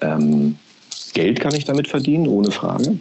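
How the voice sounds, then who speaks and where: Here a man speaks at a fairly slow pace. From Berlin (East), Germany. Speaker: podcast marketing executive. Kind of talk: interview.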